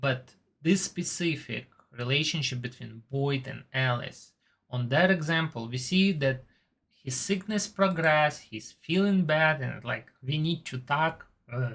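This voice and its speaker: This voice moves at a fairly slow pace. It carries a non-native accent. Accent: foreign. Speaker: TV show reviewer. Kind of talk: casual monologue review. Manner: slightly halting.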